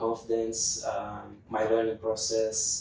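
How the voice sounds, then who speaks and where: At a fairly slow pace, a man with a non-native accent talks in a medium-pitched voice. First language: not English. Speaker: English learner student. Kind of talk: interview conversation. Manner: halting, with fillers.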